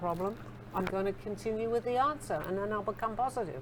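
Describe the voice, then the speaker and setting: A woman with an English accent talks very fast with lively intonation. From England. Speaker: spiritual author being interviewed. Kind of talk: interview conversation.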